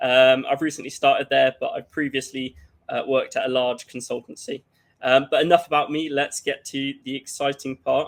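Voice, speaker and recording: A moderate pace with a British accent. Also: man. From UK. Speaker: cybersecurity workshop presenter. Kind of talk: conference workshop presentation. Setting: livestreamed online conference. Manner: hesitant, many fillers.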